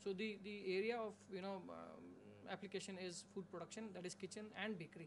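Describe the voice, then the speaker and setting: The speaker moves at a fairly quick pace with monotone, flat intonation. Noticeable background noise sits behind the voice. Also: man. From India. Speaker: hotel management lecturer. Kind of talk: webinar panel discussion. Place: studio.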